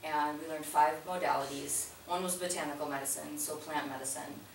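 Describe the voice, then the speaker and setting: A woman speaks at a fairly quick pace with a very deep, low pitch. Noticeable background noise and audible room echo surround her. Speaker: naturopathic doctor presenting a business proposal. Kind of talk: community meeting presentation. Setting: community meeting room with audience. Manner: soft-spoken; hesitant, many fillers. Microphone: too quiet for audience.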